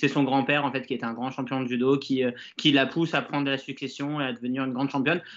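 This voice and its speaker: A man speaks at a medium pitch. His delivery is very fast and monotone, with flat intonation. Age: 30s. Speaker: bookseller. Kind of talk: casual live stream chat. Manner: hesitant, many fillers.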